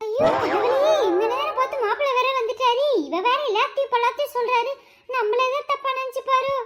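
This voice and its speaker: A woman uses a cartoonish character voice at an extremely high pitch. Her pace is moderate. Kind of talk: comic overacting. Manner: shrill, quarrelsome.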